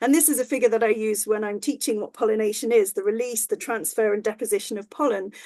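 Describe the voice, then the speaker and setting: Against a quiet background, a woman with an English accent speaks very fast in a fairly high pitch, her tone dark and mellow and hardly any pauses in her delivery. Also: ordinary pitch variation. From rural England. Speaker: professor of ecology. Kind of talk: lecture. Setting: online talk. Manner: halting.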